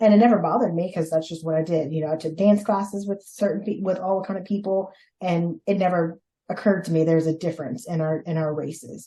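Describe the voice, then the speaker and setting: Speaking at a very fast pace with a Louisiana accent, a woman has a dark, mellow tone, a fairly low pitch, fairly even intonation and a somewhat breathy quality. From Louisiana and Mississippi, US South. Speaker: podcast guest, host's sister. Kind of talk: casual interview.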